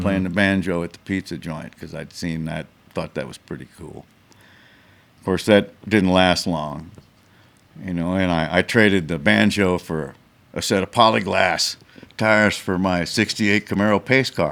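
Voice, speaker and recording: A man's very deep, low voice with vocal fry, ordinary pitch variation and big swings in loudness. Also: moderate pace. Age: 70s. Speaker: guitar collector and former touring musician. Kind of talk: interview answer. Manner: halting, with frequent restarts.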